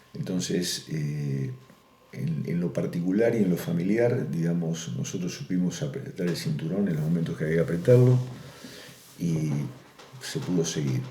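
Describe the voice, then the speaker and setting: With a very deep, low pitch and lively intonation, a man speaks at a moderate pace with long, frequent pauses, amid audible room echo and noticeable background noise. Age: 60s. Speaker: farmer. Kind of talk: oral history interview. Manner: hesitant, with many fillers.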